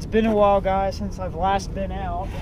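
Noticeable background noise accompanies a man's voice, recorded dry with no echo. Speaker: angler vlogger. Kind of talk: tutorial. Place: boat. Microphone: camera far.

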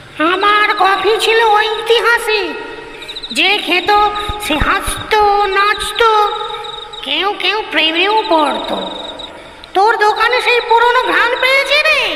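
In a cartoonish character voice at an extremely high pitch, the speaker goes very slowly, with clear echo and clear background noise behind. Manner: warm, folksy.

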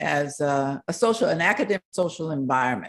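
A woman's vocal fry and very wide pitch swings at a moderate pace, against a quiet background. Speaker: university professor. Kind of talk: online panel presentation. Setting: video call. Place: home room. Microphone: video call.

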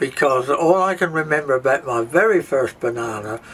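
A man speaks with a southern English accent. His intonation is lively, over light background noise. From southern England. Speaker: wartime childhood witness. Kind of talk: casual reminiscence. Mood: warm, lively recollection. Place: boat.

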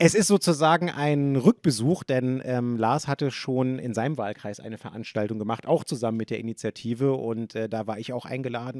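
A man at a fairly quick pace, with ordinary pitch variation and big swings in loudness, in a dry sound with no echo over a quiet background. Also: hardly any pauses. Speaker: event host, moderator. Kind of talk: moderator introduction. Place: hall. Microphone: handheld.

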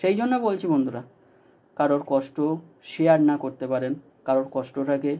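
Dark and mellow in tone, this voice shows ordinary pitch variation. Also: man, fairly high pitch for a man. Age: 20s. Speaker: DJ and YouTuber; DJ addressing followers. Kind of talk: direct-to-camera vlog appeal. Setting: at home. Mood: earnest, appealing. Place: home room. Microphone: phone near.

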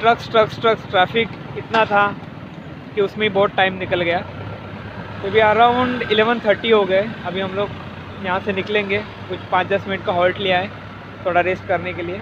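This man talks in a high pitch with monotone, flat intonation, the sound dry with no echo and noticeable background noise present. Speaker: motorbike travel vlogger. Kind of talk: casual vlog chat. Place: street. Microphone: phone near.

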